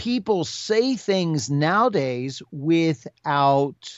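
Very slowly, a man speaks at a fairly high pitch with very wide pitch swings. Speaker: podcast co-host. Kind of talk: casual chat. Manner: halting.

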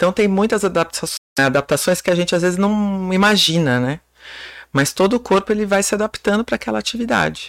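A woman's unremarkable speaking voice at a medium pitch, with lively intonation, a fairly quick pace and very even loudness, in a very clean recording with a silent background and a dry, close sound with no echo. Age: 40s. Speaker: personal trainer. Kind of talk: casual chat.

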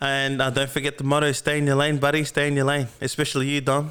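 A fairly high male voice on a very clean recording with a silent background. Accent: Australian. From Melbourne, Australia. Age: 20s. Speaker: podcast host. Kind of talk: casual monologue. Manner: halting, many fillers.

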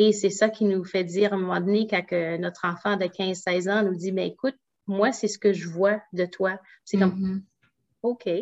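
A woman at a medium pitch keeps a flat, monotone intonation at a moderate tempo. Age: 40s. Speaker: naturopath and entrepreneur. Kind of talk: interview.

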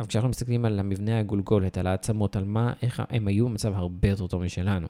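The voice has a dark, mellow tone and fairly even intonation, moving at a fairly quick pace in a very clean recording with a silent background. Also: man. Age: 30s. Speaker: podcast co-host. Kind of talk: casual chat.

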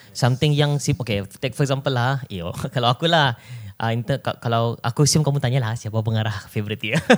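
In a very clean recording with a silent background, a man with an unremarkable speaking voice talks at a fairly quick pace, with medium pitch and ordinary pitch variation. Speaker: podcast co-host. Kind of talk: casual chat.

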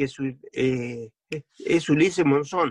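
A man talks at a very slow pace with lively intonation. The sound is dry and close, with no echo. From Argentina, Entre Ríos. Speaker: war veteran. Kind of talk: interview testimony. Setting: video call.

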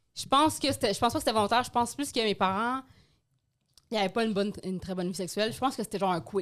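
On a very clean recording with a silent background, the speaker talks at a very fast pace with ordinary pitch variation. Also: woman, fairly high pitch for a woman. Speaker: podcast co-host. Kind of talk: casual chat.

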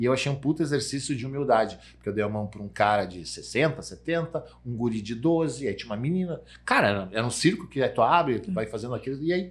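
A man with a medium-pitched, somewhat breathy voice speaks at a fairly quick pace. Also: lively intonation. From Rio Grande do Sul, Brazil (Santa Cruz do Sul). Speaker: sales executive. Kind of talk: casual chat. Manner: animated.

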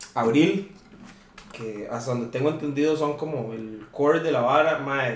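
Fairly slow, fairly even speech in a Costa Rican accent, with audible room echo and noticeable background noise. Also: man. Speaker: metal band vocalist. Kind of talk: casual chat. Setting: at a friend's home.

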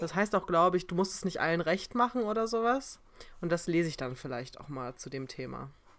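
At a fairly quick pace, a woman with a fairly low pitch speaks with very wide pitch swings and big swings in loudness. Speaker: podcast co-host. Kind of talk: casual chat.

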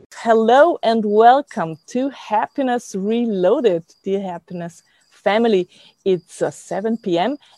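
With a German accent, the speaker talks at a very slow pace in a dark, mellow tone with lively intonation. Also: woman. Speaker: podcast host. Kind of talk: interview.

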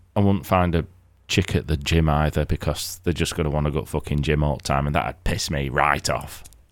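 A man's very deep, low voice with vocal fry and fairly even intonation, at a fairly quick pace, in a very clean recording with a silent background. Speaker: podcast host and ex-military. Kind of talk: casual chat. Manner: swearing, casual, joking.

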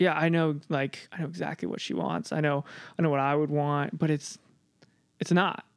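Here is a man with an unremarkable speaking voice, fairly high in pitch. He keeps a moderate pace with ordinary pitch variation. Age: 20s. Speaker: podcast editor, guest interviewer. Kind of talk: casual interview conversation with father.

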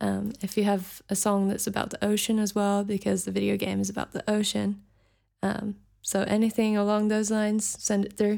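With a New Zealand accent, a woman talks at a moderate pace. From New Zealand (raised from age five, Scottish family). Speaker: singer-songwriter. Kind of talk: interview.

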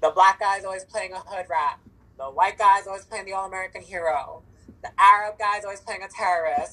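Her tone is animated, bright and sharp, and her pitch sits in the medium range for a woman. She talks at a fairly quick pace, with big swings in loudness. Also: ordinary pitch variation. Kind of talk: casual chat. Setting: phone or video call. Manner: hyper, animated.

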